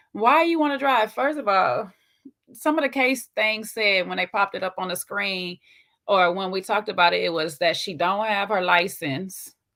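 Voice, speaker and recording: Speaking at a moderate pace, a woman of medium pitch uses lively intonation and a bright, sharp tone. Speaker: reality TV recap podcaster. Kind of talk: casual chat. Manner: animated.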